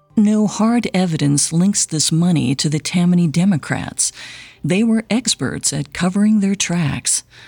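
Delivered in a dramatic tone with lively intonation at a fairly slow pace, the speech sounds dry and close with no echo, and music plays in the background. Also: woman, fairly low pitch for a woman. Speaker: podcast host. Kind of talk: true-crime narration. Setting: studio. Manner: measured, dramatic storytelling.

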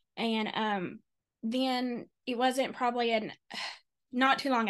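Someone with a Kentucky accent speaks at a fairly slow pace against a quiet background. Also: woman. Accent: US Southern (Kentucky). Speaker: grief interviewee, life coach and author. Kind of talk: personal testimony in interview. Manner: halting, many fillers.

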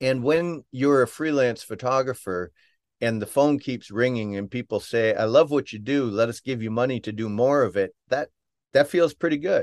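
A man's medium-pitched, plain, everyday voice, with ordinary pitch variation at a moderate pace, dry and close with no echo against a quiet background. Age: 50s. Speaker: photographer and storyteller. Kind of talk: casual interview.

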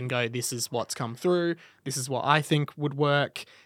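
Recorded very cleanly against a silent background, a man with an Australian accent has a bright, sharp tone and a dry, close sound with no echo. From Melbourne, Australia. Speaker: radio and podcast presenter. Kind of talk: casual interview chat. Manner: exuberant.

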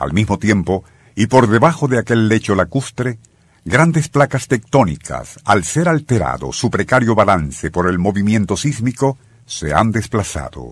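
On a very clean recording with a silent background, a man with a fairly low voice and vocal fry speaks at a fairly slow pace, his pitch swinging very widely. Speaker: radio narrator. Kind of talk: history documentary narration. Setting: radio studio. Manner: solemn, dramatic, measured narration; formal, suspenseful storytelling.

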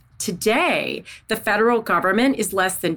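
A woman with an American accent speaks with vocal fry and ordinary pitch variation. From US South, Missouri Bootheel / northeast Arkansas. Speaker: defense research policy expert, former defense official. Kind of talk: podcast interview. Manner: animated.

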